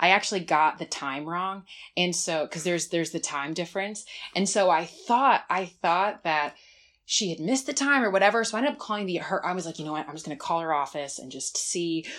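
With an American accent and an unremarkable speaking voice, a woman speaks at a fairly quick pace, fairly low in pitch, with lively intonation. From New Jersey. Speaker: nonprofit development director. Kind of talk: casual interview.

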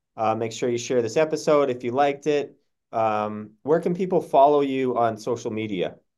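An unremarkable speaking voice, a man with an American accent, medium pitch, moderate pace and ordinary pitch variation, against a quiet background. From Massachusetts. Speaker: podcast host, doctor. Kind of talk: interview.

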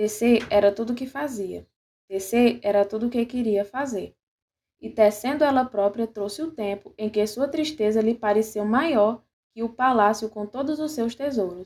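A woman with a fairly high pitch speaks in an ordinary speaking voice with ordinary pitch variation. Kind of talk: literary fairy-tale reading aloud. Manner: slow, lyrical, measured narration.

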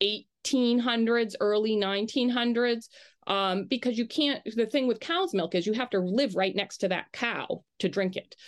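A woman with an American accent uses a normal speaking voice at a fairly high pitch with ordinary pitch variation. She goes at a fairly slow pace against a quiet background. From Maine, US. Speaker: journalist. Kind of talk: interview.

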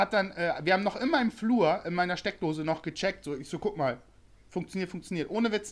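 A high-pitched man's voice with lively intonation, on a very clean recording with a silent background. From Bremen, northern Germany. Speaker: customer support worker. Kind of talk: casual chat.

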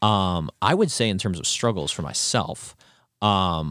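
An ordinary speaking voice moves at a fairly slow pace with ordinary pitch variation, the recording very clean, dry and close, with no echo and a silent background. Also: man. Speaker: college student podcast host. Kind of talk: casual chat. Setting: studio.

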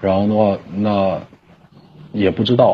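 This man's pitch runs fairly low as he talks at a moderate pace. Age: 30s. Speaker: caller. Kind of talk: personal testimony on call. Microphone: connection dropping.

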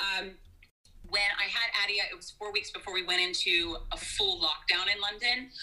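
Over noticeable background noise, a voice with an American accent keeps fairly even intonation while its loudness swings widely. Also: woman, medium pitch for a woman, moderate pace. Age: 40s. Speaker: fitness instructor. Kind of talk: casual chat.

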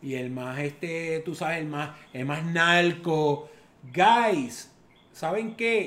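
With audible room echo, a man of fairly high pitch speaks at a very slow pace and with ordinary pitch variation. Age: 50s. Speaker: father of the host. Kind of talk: casual chat.

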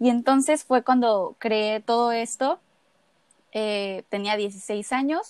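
Talking at a very slow pace, a woman with a fairly high pitch and ordinary pitch variation sounds dry and close, with no echo. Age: 20s. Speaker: eating disorder awareness advocate, law student. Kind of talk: interview, personal testimony.

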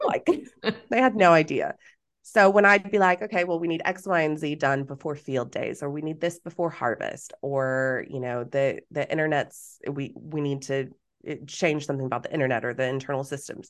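The speaker has an American accent, a moderate pace and ordinary pitch variation. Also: woman, very deep, low pitch for a woman. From Texas. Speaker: business coach. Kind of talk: casual chat. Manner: animated.

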